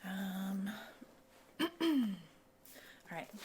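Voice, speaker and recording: Soft-spoken, this woman has a medium pitch. Her intonation is lively. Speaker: cosmetics mixologist. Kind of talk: ASMR roleplay.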